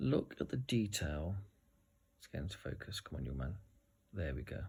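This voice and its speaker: Very deep, low male voice, lively in intonation, with vocal fry. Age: 40s. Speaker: tabletop game reviewer. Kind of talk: unboxing video. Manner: animated.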